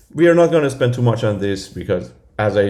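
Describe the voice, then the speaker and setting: There is audible room echo as a man talks with vocal fry. His pitch swings very widely. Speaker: lecturer. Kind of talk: lecture. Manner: halting, many fillers and repeats.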